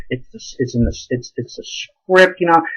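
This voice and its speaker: An animated, mumbling male voice. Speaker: amateur theatre reviewer. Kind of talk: casual video review.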